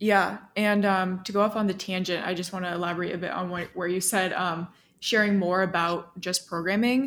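A woman speaks at a fairly quick pace in an unremarkable speaking voice, her medium pitch carried by fairly even intonation. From small town in the US. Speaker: software developer and content creator. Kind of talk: casual interview chat.

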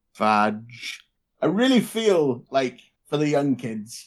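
Using lively intonation, a man with an unremarkable speaking voice talks at a medium pitch. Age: 20s. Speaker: podcast co-host. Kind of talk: casual chat.

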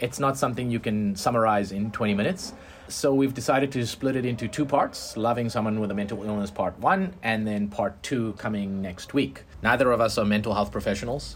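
A man with an unremarkable speaking voice talks at a fairly quick pace and medium pitch, with ordinary pitch variation and hardly any pauses. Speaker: podcast host. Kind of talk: casual conversation about personal experiences.

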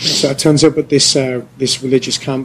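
There is noticeable background noise as a man speaks with a British accent. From England. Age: 30s. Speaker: podcast co-host, English teacher in Korea. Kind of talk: casual chat. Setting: bar. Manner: animated.

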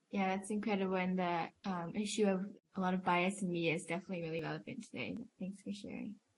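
A woman talks at a very fast pace with a medium pitch. Her voice is somewhat breathy, her intonation fairly even. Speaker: podcast co-host. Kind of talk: interview.

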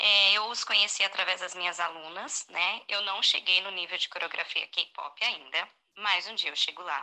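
The pace is moderate, with hardly any pauses. It is a normal speaking voice with fairly even intonation. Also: woman, medium pitch for a woman. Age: 30s. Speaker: listener sending voice message, teacher. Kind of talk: recorded voice message.

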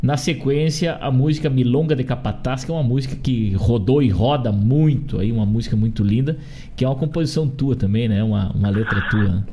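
A man with a southern Brazilian accent talks at a fairly quick pace and medium pitch, with ordinary pitch variation and very even loudness. Noticeable background noise can be heard. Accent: gaúcho Brazilian Portuguese. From Rio Grande do Sul, Brazil. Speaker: radio host. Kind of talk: radio interview. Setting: studio. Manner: animated.

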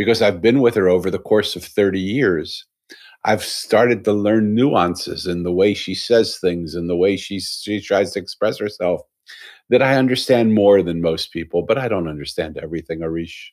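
In a very clean recording with a silent background, a man speaks in a plain, everyday voice, fairly low in pitch with ordinary pitch variation, at a moderate pace. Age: 60s. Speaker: author and storyteller. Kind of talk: interview conversation. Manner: warm, reflective storytelling.

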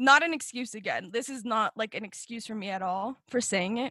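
In an American accent, a woman with an unremarkable speaking voice and a fairly high pitch talks at a moderate pace, with a dry, close sound and no echo. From Colorado (Fort Morgan, then Denver). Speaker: recent high school graduate, youth storyteller. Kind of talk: casual interview.

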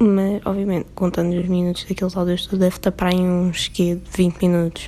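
Music plays in the background as a woman with a European Portuguese accent speaks at a moderate pace and a medium pitch. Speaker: podcaster. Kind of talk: casual solo monologue. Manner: animated.

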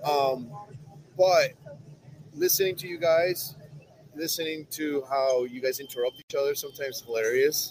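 Fairly high-pitched man at a moderate pace, with fairly even intonation, long and frequent pauses, and noticeable background noise. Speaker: coatings company rep. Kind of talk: casual chat. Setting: live show at trade conference.

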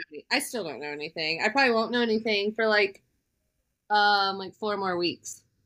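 Big swings in loudness and a bright, sharp tone at a fairly quick pace. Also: woman, medium pitch for a woman, ordinary pitch variation. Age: 30s. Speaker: podcast co-host. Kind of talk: casual chat.

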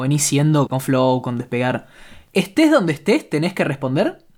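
With an ordinary speaking voice, a man talks at a moderate pace using lively intonation. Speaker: podcast host. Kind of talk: casual interview.

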